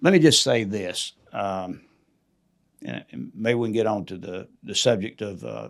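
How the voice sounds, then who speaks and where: Lively intonation and vocal fry mark a man's fairly low-pitched voice. He talks at a fairly slow pace with big swings in loudness. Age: 70s. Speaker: state legislator. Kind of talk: interview. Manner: halting.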